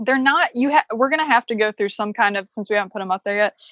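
In an American accent, a woman speaks with a bright, sharp tone at a fairly high pitch, ordinary pitch variation, and a dry, close sound with no echo. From US Midwest, Chicago. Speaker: veterinarian and homesteader. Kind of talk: casual interview.

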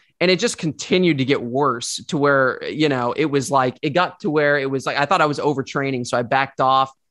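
A man with an American accent talks at a fairly quick pace with hardly any pauses, using an ordinary speaking voice with fairly high pitch and ordinary pitch variation. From US South, Northwest Arkansas. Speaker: supplement company co-founder. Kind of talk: interview. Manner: repetitive false starts.

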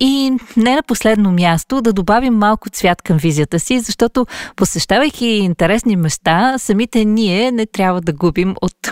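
A woman's normal speaking voice at medium pitch, with lively intonation and a moderate pace, in a dry, close sound with no echo. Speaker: podcast host. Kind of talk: interview.

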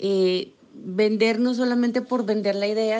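A woman talks at a medium pitch. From Nariño, Colombia (Pasto). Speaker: business association director. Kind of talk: panel conversation.

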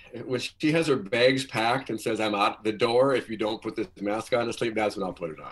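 A man speaks at a medium pitch in an unremarkable speaking voice, with ordinary pitch variation, hardly any pauses and a fairly quick pace. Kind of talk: casual chat. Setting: video call.

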